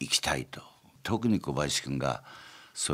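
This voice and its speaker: A man talks at a fairly quick pace in a very deep, low voice. Vocal fry runs through his speech. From Gunma, Japan. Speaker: company chairman. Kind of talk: interview. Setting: studio.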